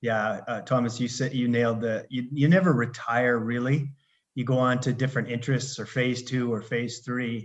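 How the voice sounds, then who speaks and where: A man with a Canadian accent, an unremarkable speaking voice, medium pitch, fairly even intonation and a moderate pace. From Canada, Alberta. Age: 60s. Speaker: retired consultant and life coach. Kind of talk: podcast interview.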